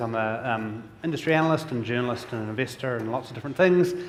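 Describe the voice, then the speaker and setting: Speaking very fast, a man uses medium pitch and ordinary pitch variation. Audible room echo and noticeable background noise fill the recording. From New Zealand. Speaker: industry analyst and event host. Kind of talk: conference keynote hosting. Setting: stage with audience.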